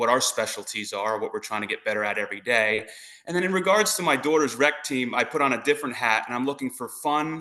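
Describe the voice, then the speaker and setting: The pace is very fast. The intonation is lively. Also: man, fairly high pitch for a man. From New Jersey. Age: 40s. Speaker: softball coach and phys ed teacher. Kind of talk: interview.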